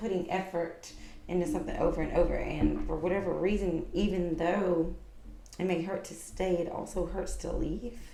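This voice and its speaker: A soft-spoken woman at a fairly low pitch and moderate pace, with audible room echo and noticeable background noise. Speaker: tarot reader. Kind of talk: tarot reading to camera. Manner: casual, conversational.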